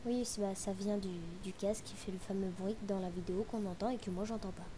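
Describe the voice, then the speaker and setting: Amid audible room echo, a woman talks at a fairly quick pace in a monotone with flat intonation. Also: medium pitch for a woman. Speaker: gaming youtuber. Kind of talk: gameplay commentary.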